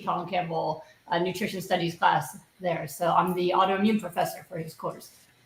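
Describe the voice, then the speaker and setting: A fairly quick-paced woman's voice with an American accent. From New York, Queens and Long Island. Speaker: physician and nutrition professor. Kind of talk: interview.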